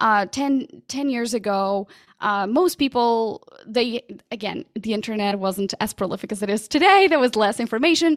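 A woman with a Portuguese accent talks at a moderate pace and fairly high pitch with lively intonation, in a dry, close sound with no echo. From Portugal. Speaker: podcast coach. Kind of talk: casual interview.

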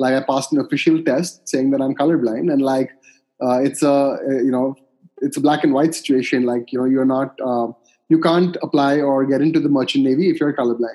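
The man's dark, mellow tone moves at a fairly quick pace with fairly even intonation. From India, Calcutta. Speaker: coffee startup co-founder. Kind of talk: interview.

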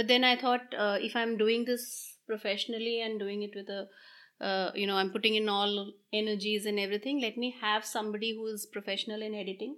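In a very clean recording with a silent background, a woman speaks at a fairly quick pace. Her fairly high voice has a bright, sharp tone. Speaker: mom content creator. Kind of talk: interview conversation. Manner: hesitant with many fillers.

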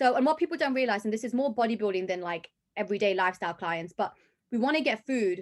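A woman speaks in a London accent at a fairly high pitch. Her intonation is lively, and the background is quiet. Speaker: personal trainer and fitness competitor. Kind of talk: casual interview chat.

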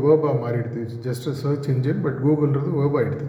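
A man's fairly high-pitched voice, monotone and flat in intonation, with audible room echo. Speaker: guest speaker at a college. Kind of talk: motivational talk to students.

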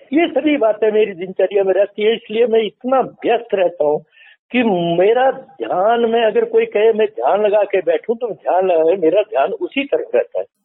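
Using ordinary pitch variation, a man with a high pitch keeps his loudness very even. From Himachal Pradesh, Kangra district. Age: old. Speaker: retired defence serviceman and gardener. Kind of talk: interview.

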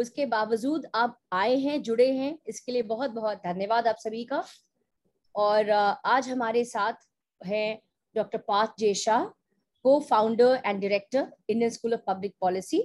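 In a quiet background, a woman speaks with an ordinary speaking voice, fairly high in pitch, with ordinary pitch variation. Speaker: associate dean and webinar host. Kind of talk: online information webinar. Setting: video call.

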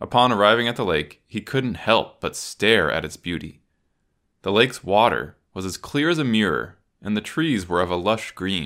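Recorded very cleanly with a silent background, a man with an unremarkable speaking voice talks at a moderate pace, his fairly low pitch carried by lively intonation. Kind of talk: horror story narration. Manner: measured, suspenseful storytelling pace.

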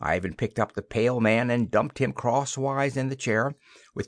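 Fairly even intonation in a natural reading voice

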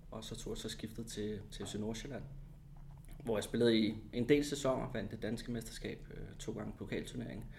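A man of medium pitch speaks at a moderate pace with vocal fry and fairly even intonation, and the room echo is audible. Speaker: former footballer and TV commentator. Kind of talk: casual interview.

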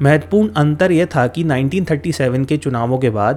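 The man's voice is fairly high-pitched. His intonation is lively. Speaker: history podcast host. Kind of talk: scripted narration. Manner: stumbles over words when hurrying.

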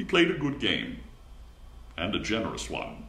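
A man's gentle tone at a fairly quick pace. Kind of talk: literary audiobook reading, scripted first-person narration of a short story. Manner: gentle, gradually building a quiet sting, slightly formal.

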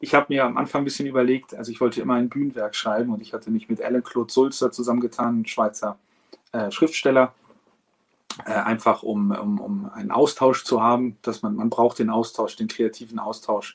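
A man's plain, everyday voice at medium pitch, fairly quick in pace, with ordinary pitch variation. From Hamburg, northern Germany. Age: 40s. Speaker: opera singer. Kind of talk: interview.

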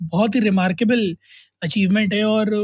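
Fairly even intonation in a high-pitched male voice. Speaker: podcast co-host. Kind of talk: casual chat.

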